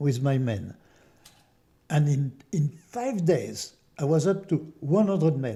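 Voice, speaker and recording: Somewhat breathy and dark, mellow in tone, the voice moves at a very slow pace with lively intonation and long, frequent pauses. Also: man, fairly high pitch for a man. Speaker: war veteran. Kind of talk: interview testimony. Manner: halting.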